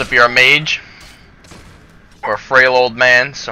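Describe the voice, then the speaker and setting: A man at a medium pitch and a moderate pace, with noticeable background noise. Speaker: gaming youtuber. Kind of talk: game tutorial commentary. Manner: casual with filler words.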